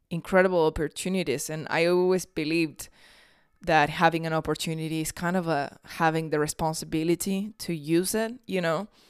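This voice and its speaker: Monotone, flat speech at a moderate pace, with a Spanish accent, in a very clean recording with a silent background. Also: woman. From Argentina, Tucumán. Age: 20s. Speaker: podcast host. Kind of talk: casual monologue.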